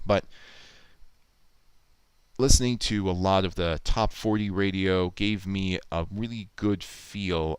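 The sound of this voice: A man speaks slowly at a low pitch with a clear, smooth tone.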